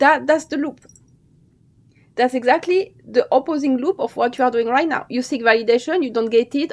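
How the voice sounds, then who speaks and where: This woman's voice is high-pitched for a woman, with ordinary pitch variation. She talks at a fairly quick pace. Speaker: dancer and dance coach. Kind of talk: motivational talk to camera. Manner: fast.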